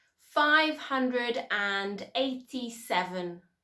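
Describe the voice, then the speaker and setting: At a very slow pace, a woman speaks in a bright, sharp tone with a fairly high pitch and lively intonation. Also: very clean recording, silent background. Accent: southern English. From Southern England. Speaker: English teacher. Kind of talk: listen-and-repeat drill. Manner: slow, clear.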